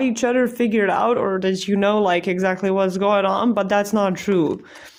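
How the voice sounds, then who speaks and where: A non-native accent shapes the speech. It proceeds at a moderate pace. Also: woman. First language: not English. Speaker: tarot card reader. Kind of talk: pick-a-card tarot reading. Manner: casual, hesitant with many fillers.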